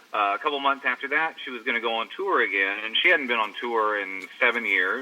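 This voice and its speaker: Speaking at a fairly quick pace with an American accent, a man shows ordinary pitch variation over noticeable background noise. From Texas, Longview. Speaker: rock guitarist. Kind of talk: interview. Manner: halting, many repeated words.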